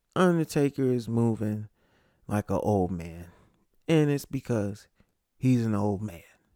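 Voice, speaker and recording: A man with a medium-pitched, dark and mellow voice talks at a fairly slow pace with lively intonation and long, frequent pauses, the sound dry and close with no echo on a very clean recording with a silent background. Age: 40s. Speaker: sports podcast host. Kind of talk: casual solo commentary.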